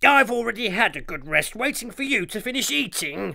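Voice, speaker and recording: Speaking in a put-on character voice, a woman sounds raspy with a fairly high pitch and very wide pitch swings. She talks at a fairly quick pace. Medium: read story. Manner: greedy, eager.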